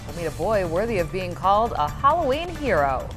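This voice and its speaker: Over music in the background, a woman speaks at a moderate pace with a fairly high pitch. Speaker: television news anchor. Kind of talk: TV newscast anchor read.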